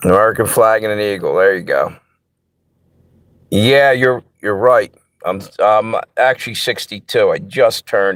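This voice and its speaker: This man's delivery is fairly slow. Long pauses come often. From US Mid-Atlantic (Pennsylvania/Delaware area). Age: 60s. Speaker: livestream host. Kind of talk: casual chat. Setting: live stream.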